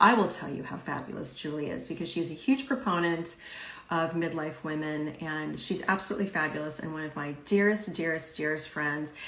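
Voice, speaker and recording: A woman with a normal speaking voice, fairly low in pitch, at a fairly quick pace with ordinary pitch variation. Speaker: podcast host and life coach. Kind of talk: live interview host talk.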